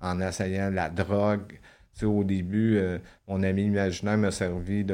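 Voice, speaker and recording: A man with very deep, low pitch, a dark, mellow tone and monotone, flat intonation at a fairly slow pace. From Quebec. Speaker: former prisoner. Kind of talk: testimony.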